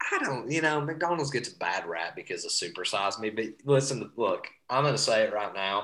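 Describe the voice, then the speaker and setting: Lively in intonation, a man talks at a fairly quick pace in an East Tennessee accent. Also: medium pitch for a man. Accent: Southern US (East Tennessee). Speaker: sports podcast co-host. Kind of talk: casual chat. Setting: remote call.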